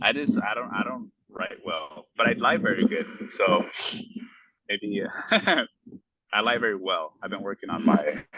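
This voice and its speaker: A man with a Spanish accent at a moderate pace, with big swings in loudness and long, frequent pauses. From United States, Spanish-speaking immigrant family. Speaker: small business owner, golf accessory maker. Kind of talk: casual chat.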